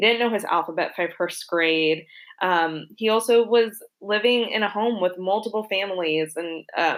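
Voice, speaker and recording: A woman speaks at a moderate pace in an unremarkable speaking voice. Her pitch varies in an ordinary way. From Florida. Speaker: venture investor in education. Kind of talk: podcast interview.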